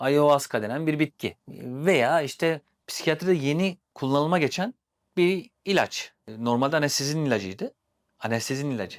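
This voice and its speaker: Recorded dry and close with no echo and a silent background on a very clean track, a plain, everyday voice moves at a moderate pace. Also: man. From Turkey, Sivas. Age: 40s. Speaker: therapist. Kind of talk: casual chat.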